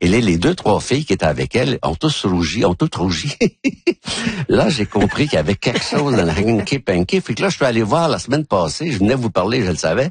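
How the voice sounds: A man talks at a fairly quick pace with few pauses, his pitch fairly low. His voice has a husky, rough edge and big pitch swings.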